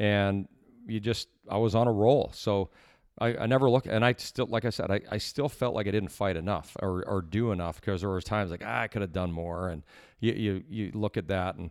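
With an unremarkable speaking voice, a man talks at a fairly quick pace, fairly low in pitch, with ordinary pitch variation. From Canada (Edmonton, Alberta). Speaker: former pro hockey player. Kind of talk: interview storytelling.

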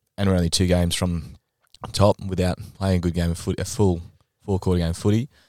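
A man with an Australian accent speaks at a fairly quick pace in a very deep, low pitch. The recording is very clean, with a silent background and dry, close sound with no echo. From Adelaide, South Australia. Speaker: amateur Australian rules football vice-captain. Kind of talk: casual chat. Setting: studio.

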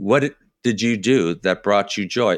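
An unremarkable speaking voice with an American accent moves at a fairly slow pace. The intonation is lively, and the recording is very clean with a silent background. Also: man. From US Midwest, Chicago suburbs. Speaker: personal development coach. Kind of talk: casual interview.

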